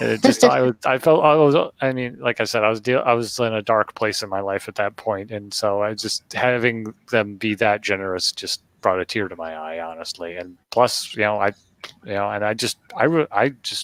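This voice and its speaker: A man's fairly low voice with ordinary pitch variation at a moderate pace. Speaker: gaming podcast host. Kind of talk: casual chat. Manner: halting, frequent self-corrections; rambling.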